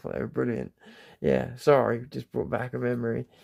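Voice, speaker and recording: A man with a southern English accent speaks in a relaxed tone. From southern England. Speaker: livestreamer. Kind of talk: casual chat. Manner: relaxed, rambling with fillers.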